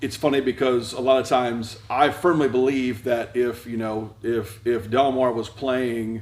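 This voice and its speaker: Noticeable background noise and audible room echo fill the space around a man at medium pitch. He speaks at a fairly slow pace with fairly even intonation and hardly any pauses. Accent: American. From Delaware, US. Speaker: high school principal and preacher. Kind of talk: casual interview. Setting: church.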